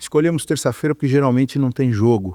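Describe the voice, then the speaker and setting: This man has a dark, mellow tone at a medium pitch with ordinary variation. The sound is dry and close, with no echo. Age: 60s. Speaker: electrical engineer. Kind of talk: interview. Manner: halting, many fillers.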